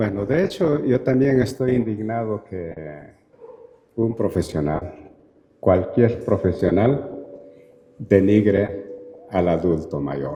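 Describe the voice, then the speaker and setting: Talking at a very slow pace, a man with a fairly low pitch uses lively intonation and long, frequent pauses. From Peru. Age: 60s. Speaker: anthropologist and university lecturer. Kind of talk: Q&A answer at a talk. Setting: auditorium.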